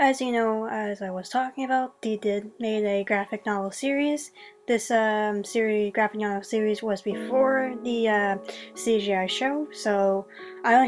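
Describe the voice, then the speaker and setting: A woman's fairly high-pitched voice at a moderate pace, with ordinary pitch variation and music in the background. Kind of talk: casual video review voiceover. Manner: unscripted, hesitant with many fillers.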